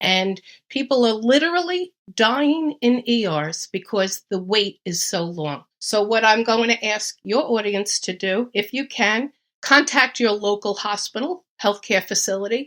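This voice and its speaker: With a New York accent, a woman speaks at a fairly high pitch and with lively intonation. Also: fairly slow pace. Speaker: retired nurse, home gardener. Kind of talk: podcast interview. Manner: emphatic.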